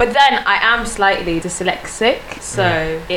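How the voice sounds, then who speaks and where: Medium-pitched woman with lively intonation, amid noticeable background noise. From Sweden, small city. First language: Swedish. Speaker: content creator and architecture student. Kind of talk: casual chat. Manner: halting.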